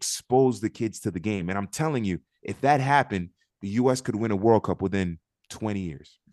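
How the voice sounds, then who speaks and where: In a quiet background with a dry, close sound and no echo, a man speaks at medium pitch and a moderate pace with ordinary pitch variation. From Miami, Florida (Liberty City), Haitian family. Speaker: soccer pundit and commentator. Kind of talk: casual interview chat. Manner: talkative.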